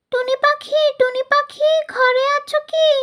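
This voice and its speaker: A cartoonish character voice at an extremely high pitch, in a monotone, flat intonation. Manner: meek, anxious.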